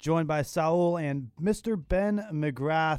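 A man speaks in a normal speaking voice with a fairly high pitch. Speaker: student radio sports host. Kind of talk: casual sports talk show banter. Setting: studio. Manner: conversational, relaxed.

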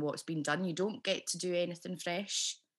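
With a Scottish accent, a woman talks at a fairly quick pace in a fairly low pitch, her intonation fairly even. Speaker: podcast host and actress. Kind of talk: casual interview chat. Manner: warm and chatty.

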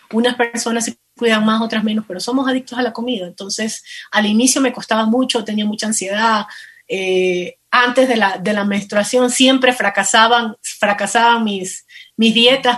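An ordinary speaking voice from a woman, fairly high in pitch, with fairly even intonation at a moderate pace. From Ecuador, coast (Manabí). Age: 40s. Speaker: plus-size model and lingerie entrepreneur. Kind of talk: interview.

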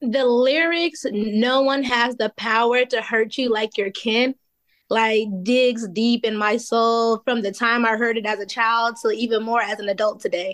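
Using a plain, everyday voice, a woman speaks at a fairly slow pace with a fairly high pitch, fairly even intonation and very even loudness. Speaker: school worker. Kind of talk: casual chat.

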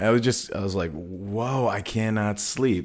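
A man with an American accent speaks at a moderate pace and medium pitch, in a normal speaking voice. The recording is very clean, with a silent background. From northern Illinois. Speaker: musician and podcast host. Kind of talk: casual chat.

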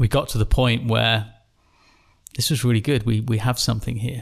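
A man with an English accent speaks at a medium pitch in a flat monotone. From England. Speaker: company founder. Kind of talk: interview. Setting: in person at company headquarters.

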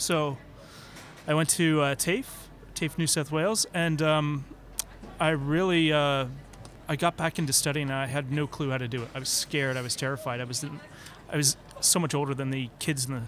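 At a moderate pace, a man speaks with a fairly high pitch and fairly even intonation, leaving long, frequent pauses. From Canada. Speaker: e-learning consultant. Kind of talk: podcast interview.

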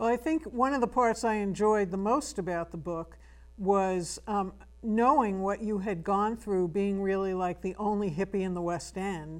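At a moderate pace, a woman talks at a medium pitch with ordinary pitch variation.

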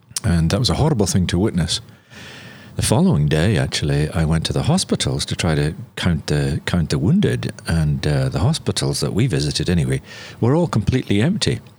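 Speaking with a Northern Irish accent, the voice moves at a fairly quick pace with lively intonation and very even loudness. Noticeable background noise sits underneath. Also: man, very deep, low pitch for a man. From Northern Ireland. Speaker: missionary and journalist. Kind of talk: interview.

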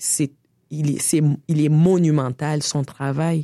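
A woman with a Quebec accent speaks at a fairly slow pace in a very deep, low voice, her tone dark and mellow, the sound dry and close with no echo. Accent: Québécois French. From Senegal (Dakar) until 8, then Canada (Quebec). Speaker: artist and feminist activist. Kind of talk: interview conversation. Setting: studio.

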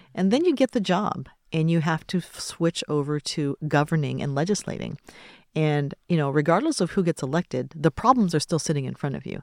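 In an American accent, a woman with a very deep, low voice talks fairly quickly with ordinary pitch variation, on a very clean recording with a silent background and a dry, close sound with no echo. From Tacoma, Washington (US Pacific Northwest). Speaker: podcast host and business chamber CEO. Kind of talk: interview conversation.

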